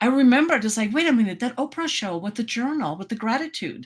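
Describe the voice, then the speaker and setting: This is a woman speaking. She has a German accent. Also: very clean recording, silent background. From Germany. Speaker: life coach. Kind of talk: interview. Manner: animated.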